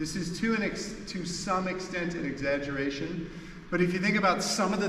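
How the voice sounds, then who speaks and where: A man speaks at a fairly high pitch with ordinary pitch variation. Noticeable background noise and audible room echo surround him. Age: 60s. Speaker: martial arts instructor. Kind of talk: instructional demonstration. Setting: seminar in training hall.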